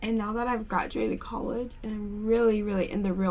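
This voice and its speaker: With an American accent, the speaker uses a monotone, flat intonation, and audible room echo surrounds the voice. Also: woman. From Pennsylvania, US. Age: 20s. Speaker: lifestyle vlogger. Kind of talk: casual get-ready-with-me vlog chat. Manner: chatty, filler-heavy.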